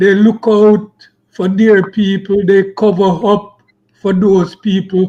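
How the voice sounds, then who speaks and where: Very slowly and in a flat monotone, a man talks at a high pitch with a dark, mellow tone. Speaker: online show host. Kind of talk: interview discussion.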